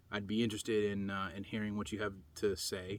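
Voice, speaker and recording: A man talks at a moderate pace in a fairly low, monotone, flat voice, captured in a very clean recording with a silent background. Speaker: preparedness vlogger. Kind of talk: casual vlog monologue. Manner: halting, many fillers and pauses; self-conscious, unpolished on camera.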